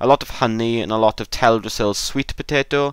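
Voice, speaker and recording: A man's ordinary speaking voice at medium pitch and moderate pace, on a very clean recording with a silent background. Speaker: gaming video creator. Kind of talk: gameplay tutorial.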